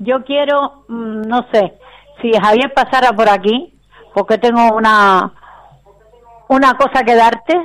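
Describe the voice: Speaking at a slow pace, a woman uses a fairly high pitch and fairly bright tone with ordinary pitch variation.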